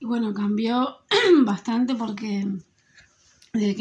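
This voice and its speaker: Somewhat breathy speech in an Argentine accent comes at a moderate pace with ordinary pitch variation, on a very clean recording with a silent background. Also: woman. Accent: Argentine Spanish (Rioplatense). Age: 40s. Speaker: school secretary. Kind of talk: interview answers.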